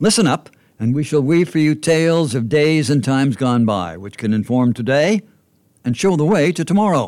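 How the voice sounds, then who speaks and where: It's a plain, everyday voice. The intonation is lively. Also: man. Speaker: podcast narrator. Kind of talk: scripted narration.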